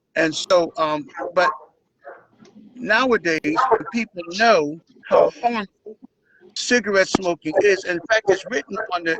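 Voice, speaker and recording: A man with an American accent speaks at a fairly slow pace in a high voice, with ordinary pitch variation and long, frequent pauses. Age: 70s. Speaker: community health show host, local politician. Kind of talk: live online talk show.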